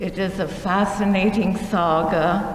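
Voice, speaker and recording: Recorded with audible room echo, a woman speaks amid noticeable background noise. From Shanghai, China. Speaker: speaker sharing life story. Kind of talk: museum presentation. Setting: museum talk with audience.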